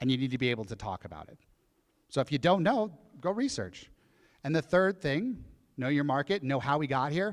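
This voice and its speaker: Lively intonation marks a man speaking at a fairly quick pace. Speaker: real estate speaker on a panel. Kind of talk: live event panel talk. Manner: fast.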